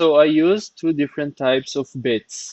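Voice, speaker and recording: Fairly even intonation from a man with a non-native accent. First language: not English. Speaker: CNC workshop maker, YouTuber. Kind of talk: tutorial. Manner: halting, with fillers.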